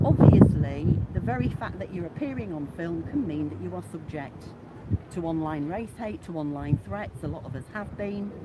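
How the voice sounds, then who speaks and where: A woman with an East Midlands accent, very deep, low pitch, very wide pitch swings, big swings in loudness, moderate pace, noticeable background noise and audible room echo. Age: 60s. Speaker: local activist, retired social worker. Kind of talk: street confrontation / argument.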